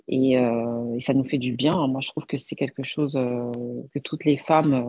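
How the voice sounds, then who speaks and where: The intonation is fairly even. The pace is very slow. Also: woman. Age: 40s. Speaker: image consultant. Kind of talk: casual chat. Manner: halting.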